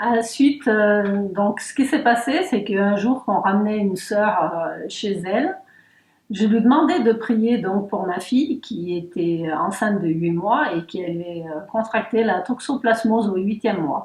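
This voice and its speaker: A woman talks fairly slowly, her voice fairly high and her intonation lively. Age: 60s. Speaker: church member giving testimony. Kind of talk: testimony interview. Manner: hesitant, many fillers.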